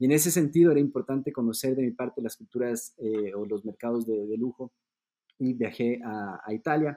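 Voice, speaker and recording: A man speaks at a moderate pace in a dark, mellow tone with ordinary pitch variation. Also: medium pitch for a man, dry, close sound with no echo. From Ecuador. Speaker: luxury accessories designer. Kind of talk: podcast interview.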